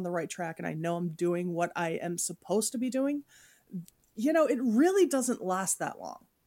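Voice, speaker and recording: Lively intonation runs through a woman's normal speaking voice. She keeps a moderate pace on a very clean recording with a silent background. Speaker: podcast host. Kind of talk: casual chat.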